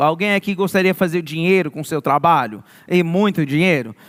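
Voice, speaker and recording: With a São Paulo interior accent, a man speaks at a moderate pace in a high pitch. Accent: Portuguese sounds like interior of São Paulo. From Maryland, US (born New York). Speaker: youth pastor. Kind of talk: sermon.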